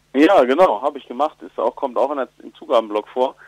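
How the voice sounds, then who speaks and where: Speaking at a fairly quick pace, a man uses lively intonation in a dry, close recording with no echo. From Germany, Ruhr area. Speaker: comedian and musician. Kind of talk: interview. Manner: hesitant with fillers.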